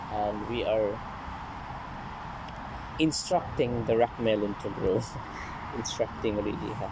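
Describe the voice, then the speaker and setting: Against noticeable background noise, a man speaks with ordinary pitch variation, the sound dry with no echo. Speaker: home gardener vlogger. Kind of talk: casual vlog chat. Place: garden. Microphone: phone near.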